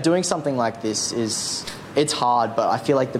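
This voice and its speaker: Over noticeable background noise, a man with an Australian accent talks at a medium pitch and a fairly quick pace. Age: young. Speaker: charity runner. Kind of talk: casual chat.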